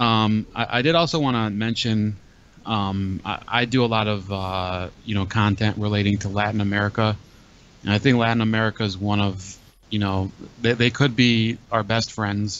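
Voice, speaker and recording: Speaking in an unremarkable speaking voice, a man talks at a moderate pace and fairly low pitch with fairly even intonation and dry sound with no echo. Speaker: call-in show host. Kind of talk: commentary. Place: home room. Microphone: studio mic.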